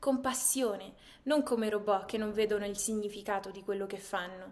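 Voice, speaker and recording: A woman speaks in a normal speaking voice at a moderate pace. Her intonation is lively. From Marche, Italy, then California from age 12. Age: young. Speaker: university student. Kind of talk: prepared video message to students.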